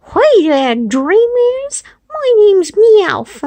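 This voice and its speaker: In a put-on character voice, the speaker uses an extremely high pitch with very wide pitch swings at a very slow pace. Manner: cheerful, scheming.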